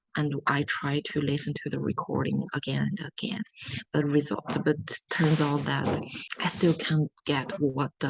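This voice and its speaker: A non-native accent comes through at a fairly slow pace. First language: not English. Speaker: international student. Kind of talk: interview answers.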